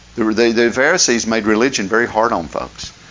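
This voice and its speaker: Over noticeable background noise, a man with an Appalachian accent talks at a fairly quick pace and medium pitch. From West Virginia, McDowell County. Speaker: pastor. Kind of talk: sermon.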